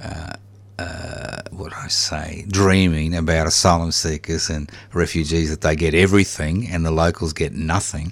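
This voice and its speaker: A man with a very deep, low pitch talks at a moderate pace and fairly even intonation. His loudness swings widely, over noticeable background noise. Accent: Australian. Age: old. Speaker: community radio host. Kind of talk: interview; station announcement. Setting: radio studio.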